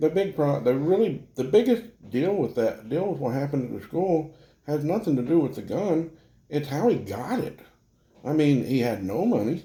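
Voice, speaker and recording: At a moderate pace, a man with a fairly high pitch and a dark, mellow, somewhat breathy tone moves through very wide pitch swings. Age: young. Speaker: anonymous podcast guest. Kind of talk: casual chat.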